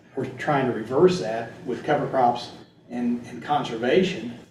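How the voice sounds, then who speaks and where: There is noticeable background noise along with audible room echo. Through it, a man speaks with an American accent. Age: 60s. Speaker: agronomist. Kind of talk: presentation Q&A. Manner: halting.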